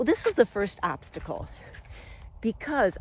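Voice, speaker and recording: A woman with vocal fry talks in an animated tone at a moderate pace. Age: 60s. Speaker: self-help video host. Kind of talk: personal storytelling monologue.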